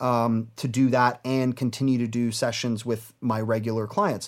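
A man with an ordinary speaking voice talks at medium pitch and a moderate pace with ordinary pitch variation, on a very clean recording with a silent background. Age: 30s. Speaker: music producer and mix engineer. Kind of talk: casual interview.

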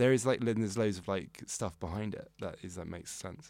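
A man speaks at a fairly low pitch with ordinary pitch variation. His loudness swings widely. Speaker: podcast guest. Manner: fast talker.

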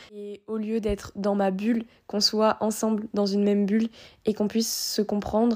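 Dark and mellow in tone, this woman's voice comes through on a very clean recording against a silent background. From Réunion. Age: 20s. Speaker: student podcaster. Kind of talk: casual personal monologue. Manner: halting.

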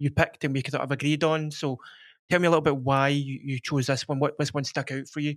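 On a very clean recording with a silent background, a man in a Glasgow accent speaks very fast in a fairly high, monotone, flat voice. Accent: Scottish (Glasgow). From Scotland. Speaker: podcast host. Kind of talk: casual chat.

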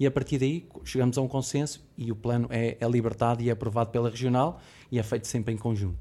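With a Lisbon accent, a man talks at a fairly quick pace and medium pitch in a dark, mellow tone. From Lisbon, Portugal. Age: 40s. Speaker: logistics warehouse director. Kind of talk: corporate podcast discussion.

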